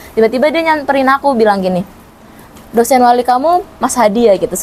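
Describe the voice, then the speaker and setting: Over noticeable background noise, the speaker's intonation stays lively. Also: woman. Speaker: university student, talk show guest. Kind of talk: casual chat. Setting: studio.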